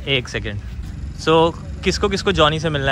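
A man talks over noticeable background noise in a dry space with no echo. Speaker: vlogger. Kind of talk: casual vlog chat.

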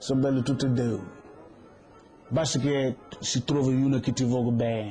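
Music plays in the background as a man speaks at a moderate pace and medium pitch, with fairly even intonation and very even loudness. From Senegal. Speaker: street vendor. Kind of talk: documentary interview. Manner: halting.

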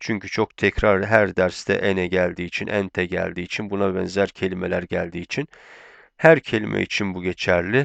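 Ordinary pitch variation in a dry, close sound with no echo, over a quiet background. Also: man, very deep, low pitch for a man. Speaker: Arabic language teacher. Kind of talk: lecture. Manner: slow, repetitive drilling.

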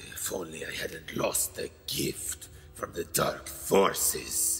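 A man does a raspy, cartoonish character voice. Clear background noise runs underneath. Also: fairly slow pace. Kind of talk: fan dub of animated film scene. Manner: menacing, dramatic.

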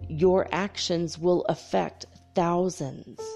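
A booming, put-on character voice at a middle pitch moves at a very slow pace, with faint music in the background. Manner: godlike, authoritative.

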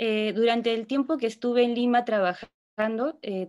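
A woman speaks at a fairly high pitch against a quiet background. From southern Peru (Ilo); southern Peru. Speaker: psychologist and cultural project leader; presenter. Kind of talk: workshop presentation. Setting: video call. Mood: reflective, warm. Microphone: video call.

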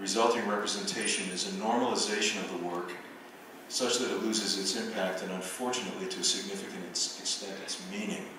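Over noticeable background noise and strong room echo, a man talks at a fairly quick pace with ordinary pitch variation. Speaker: visual artist and professor. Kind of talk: lecture. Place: hall.

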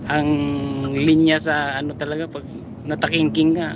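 A woman speaks at a moderate pace. The sound is dry with no echo, and there is noticeable background noise. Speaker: truck driver streamer. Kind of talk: casual live-stream chat. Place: car. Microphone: phone near.

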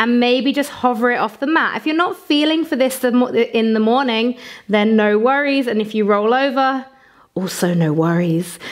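A soft-spoken woman with a British accent and a high pitch speaks in a calm tone with lively intonation. The background is quiet. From England. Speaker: yoga teacher. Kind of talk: guided yoga flow with breath-counting cues, meditative instruction. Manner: slow, soothing, gently counting each inhale and exhale; calm, softly encouraging with frequent optional invitations. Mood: calm, soothing.

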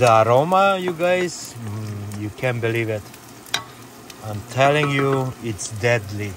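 A man with a strong Hungarian accent speaks at a very slow pace with lively intonation. The sound is dry with no echo, though noticeable background noise comes through. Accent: thick Hungarian. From Hungary. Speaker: vlogger. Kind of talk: casual vlog talk to camera. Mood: cheerful, relaxed. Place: home room. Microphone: phone near.

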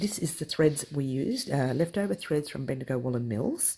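Over light background noise, a woman with a very deep, low pitch speaks somewhat breathily at a moderate pace with lively intonation. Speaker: crochet tutorial host. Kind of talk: tutorial. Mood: cheerful, playful.

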